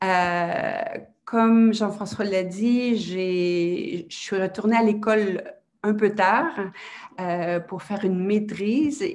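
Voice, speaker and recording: With fairly even intonation, a woman keeps to a medium pitch. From Quebec, Montreal. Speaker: university director, guest speaker. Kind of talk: seminar presentation. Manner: halting, many hesitations.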